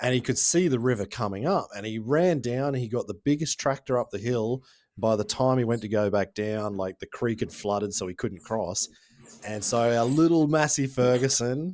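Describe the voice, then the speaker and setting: A man with an Australian accent and a medium pitch. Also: ordinary pitch variation, moderate pace. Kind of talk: informal, some swearing. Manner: casual storyteller.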